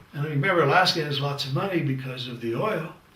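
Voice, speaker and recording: A man talks at a fairly quick pace. The room echo is audible, and there is noticeable background noise. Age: 70s. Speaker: leadership lecturer. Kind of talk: lecture. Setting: studio, green screen. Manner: conversational, with hesitations.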